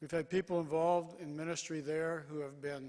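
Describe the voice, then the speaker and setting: Fairly even intonation and a moderate pace from a man with a fairly high pitch. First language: English (speaking Korean). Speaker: mission organization leader. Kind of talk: conference keynote speech. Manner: short phrases, pausing for interpreter.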